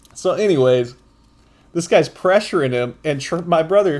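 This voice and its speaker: A man speaks loudly in an animated tone at a fairly slow pace. The recording is very clean, with a silent background. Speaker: podcast host. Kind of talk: casual commentary monologue.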